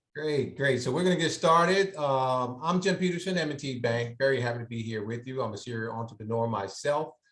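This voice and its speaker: Hardly pausing, a man with an American accent talks at a fairly quick pace and medium pitch. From Philadelphia, US. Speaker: banker and entrepreneur. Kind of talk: workshop presentation. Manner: fast.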